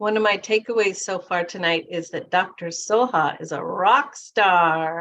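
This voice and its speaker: A woman speaks with a western Canadian accent at a fairly slow pace. Her pitch is fairly low, with ordinary variation. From Canada. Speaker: webinar host. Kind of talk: webinar hosting.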